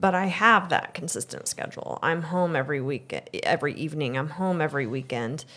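A woman's very deep, low voice with a bright, sharp tone and a Midwestern American accent, at a fairly quick pace with ordinary pitch variation. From Missouri, Excelsior Springs. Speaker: guest interviewer, host's wife. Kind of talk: casual interview conversation. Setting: barn hayloft recording.

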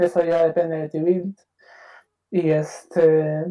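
A man with a Peruvian accent speaks at a fairly high pitch in a monotone, flat intonation. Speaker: card game player. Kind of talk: interview.

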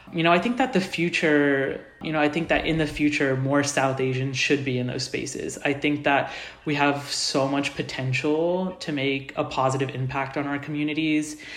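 Amid noticeable background noise and audible room echo, a man with an American accent speaks fairly high at a moderate pace, with fairly even intonation and hardly any pauses. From US Midwest, Indianapolis, Indiana. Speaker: university student. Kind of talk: casual interview.

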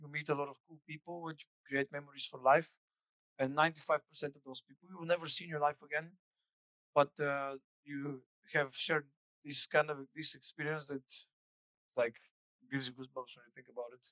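A man with a Bulgarian accent talks fairly quickly in a bright, sharp tone at fairly high pitch, with big swings in loudness and long, frequent pauses. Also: dry, close sound with no echo. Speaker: former student, customer service specialist. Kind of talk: interview. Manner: casual.

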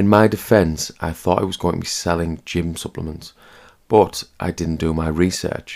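At a moderate pace, a man with a British accent speaks in a very deep, low pitch with fairly even intonation. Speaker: personal finance podcaster. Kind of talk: scripted narration. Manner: monotone; flat.

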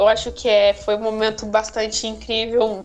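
Music plays in the background. A woman speaks at a moderate pace with a fairly high pitch. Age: 20s. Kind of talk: casual chat.

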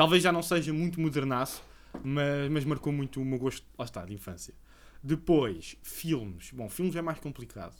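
Loudness swings widely as a man in a normal speaking voice, fairly high in pitch, talks at a moderate pace with lively intonation. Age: 30s. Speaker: podcast co-host. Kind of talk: casual chat.

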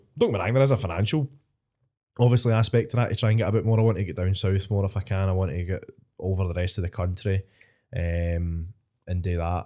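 In a Scottish accent, a man with a very deep, low pitch and a dark, mellow tone talks at a fairly quick pace with ordinary pitch variation. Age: 20s. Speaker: stand-up comedian. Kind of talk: casual chat.

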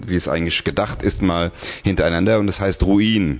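A man's very deep, low voice at a moderate pace, with fairly even intonation and noticeable background noise. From Hungary. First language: Hungarian (speaking German). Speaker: singer and tattoo studio owner. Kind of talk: casual chat. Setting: tattoo studio.

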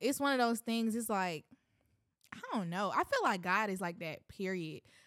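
At a fairly slow pace, a woman speaks in an ordinary speaking voice at medium pitch with ordinary pitch variation. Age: 20s. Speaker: minister and musician. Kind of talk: casual chat; testimony.

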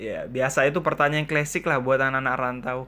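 A man's fairly high voice with a bright, sharp tone. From Kalimantan Timur, Indonesia. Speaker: podcaster and video creator. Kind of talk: casual chat. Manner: casual, rambling, jokey.

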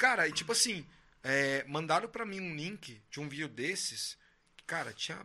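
Here is a man with an ordinary speaking voice and a fairly high pitch. His intonation is lively, and he keeps a moderate pace. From Brazil, São José dos Campos. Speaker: podcast host, musician. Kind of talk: casual chat.

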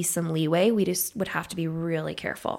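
A woman's normal speaking voice, fairly low in pitch, with an American accent and a fairly quick pace, on a very clean recording with a silent background. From Idaho. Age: 30s. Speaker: psychiatric nurse practitioner. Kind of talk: interview.

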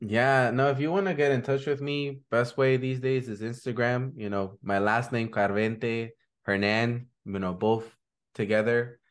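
Medium-pitched male voice against a quiet background. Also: ordinary pitch variation. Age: 30s. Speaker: youth justice activist. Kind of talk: interview.

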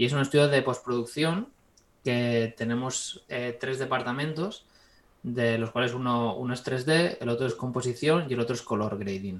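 A man talks at a moderate pace and medium pitch with ordinary pitch variation, in an unremarkable speaking voice. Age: 20s. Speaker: 3D visual effects artist. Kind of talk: casual interview.

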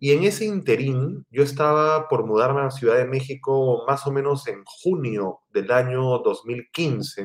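A man speaks at a fairly high pitch with ordinary pitch variation. He leaves hardly any pauses. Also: fairly slow pace. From Peru, Lima. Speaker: writer and library director. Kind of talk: interview conversation. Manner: hesitant fillers.

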